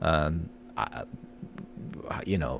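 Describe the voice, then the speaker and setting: A man speaks with vocal fry. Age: 60s. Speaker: marketing podcast host. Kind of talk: casual tutorial commentary. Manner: conversational with many fillers.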